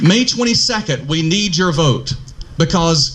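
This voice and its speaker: Over noticeable background noise and audible room echo, a man with a fairly high pitch speaks at a moderate pace with lively intonation. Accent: north Georgia. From US South, northeast Georgia. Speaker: political candidate. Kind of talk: campaign speech. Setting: outdoor park pavilion forum.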